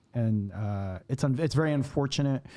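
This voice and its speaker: A man with an American accent talks at medium pitch in a dark, mellow tone. His pitch varies in an ordinary way in a very clean recording with a silent background. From San Diego, California. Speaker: food vlogger. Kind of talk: podcast interview. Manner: halting, with many repetitions and fillers.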